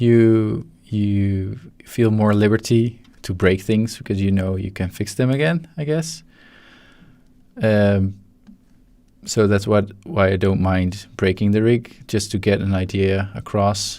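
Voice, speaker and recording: A man mumbles at a very slow pace with a Dutch accent, his tone dark and mellow. His pitch sits fairly low, broken by long, frequent pauses. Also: ordinary pitch variation. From Netherlands. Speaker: 3D animator. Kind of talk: live-stream tutorial. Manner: mumbling; halting.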